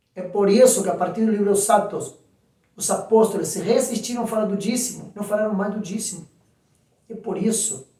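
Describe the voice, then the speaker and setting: The man's voice is high-pitched. He speaks at a fairly quick pace. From Argentina. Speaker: pastor. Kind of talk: sermon. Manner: animated.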